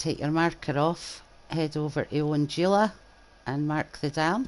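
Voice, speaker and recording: A woman speaks in a Scottish accent with a very deep, low pitch. Her pace is moderate and her pitch variation ordinary. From Scotland. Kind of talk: casual gameplay commentary.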